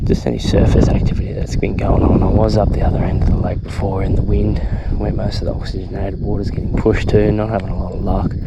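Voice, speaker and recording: A man speaks very fast in a very deep, low voice with very wide pitch swings. Noticeable background noise and audible room echo fill the recording. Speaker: fishing vlogger. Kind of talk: outdoor vlog commentary. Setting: outdoors on a lake. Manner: excited exclamations; quiet, hushed.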